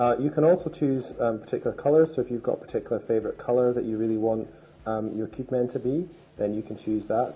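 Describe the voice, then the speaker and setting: A man in a Scottish accent talks at a very fast pace, his dark, mellow tone somewhat breathy and his pitch variation ordinary. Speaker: game studio creative director and founder. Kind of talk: gameplay tutorial. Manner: hesitant, many fillers.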